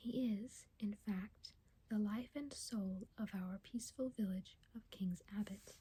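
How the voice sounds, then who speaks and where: Soft-spoken delivery at a very slow pace. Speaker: ASMR reader. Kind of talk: soft-spoken ASMR book reading, audiobook-style narration. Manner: soft-spoken, slow, intimate.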